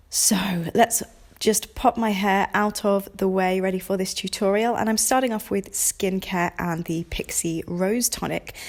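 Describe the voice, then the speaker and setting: Talking at a fairly slow pace, a woman with a British accent has a medium pitch and fairly even intonation. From United Kingdom. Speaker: makeup artist and beauty vlogger. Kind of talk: makeup tutorial. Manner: hesitant with fillers.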